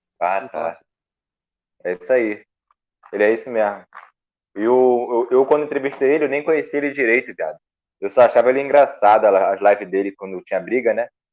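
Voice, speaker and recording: A man talks at medium pitch and a fairly quick pace, with ordinary pitch variation. His loudness swings widely, and he leaves long, frequent pauses. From Rio de Janeiro, Brazil. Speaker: youtuber and car salesman. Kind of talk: casual chat.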